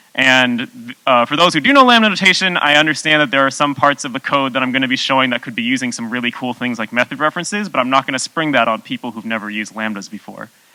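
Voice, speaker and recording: A man at medium pitch talks very fast with hardly any pauses and ordinary pitch variation. The sound is dry and close with no echo, though noticeable background noise is present. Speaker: software developer giving conference talk. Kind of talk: conference talk.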